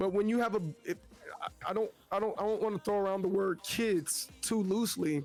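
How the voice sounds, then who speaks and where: Over music in the background, a man speaks at a fairly quick pace with a high pitch. His loudness is very even and his intonation fairly even. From US South, Memphis, Tennessee. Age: 30s. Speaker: Twitch streamer. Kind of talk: casual interview chat. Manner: halting, many restarts.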